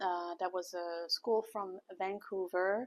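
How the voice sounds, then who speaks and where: A woman with a non-native accent at medium pitch, speaking very slowly in a dry, close sound with no echo. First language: not English. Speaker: vlogger. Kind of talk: casual vlog. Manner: halting.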